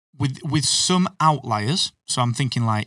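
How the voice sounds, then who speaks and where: A man with a British accent, dry and close with no echo, on a very clean recording with a silent background. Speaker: podcasting expert and business owner. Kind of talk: casual interview chat. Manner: self-deprecating, humorous.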